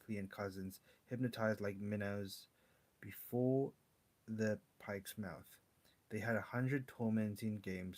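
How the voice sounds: What you hear is a natural reading voice.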